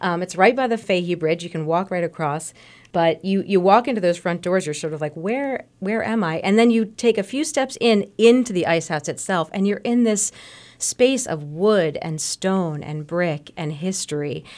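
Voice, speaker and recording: With a normal speaking voice at medium pitch, a woman talks at a moderate pace with lively intonation in a very clean recording over a silent background. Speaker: arts advocate. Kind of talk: casual radio conversation. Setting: radio studio.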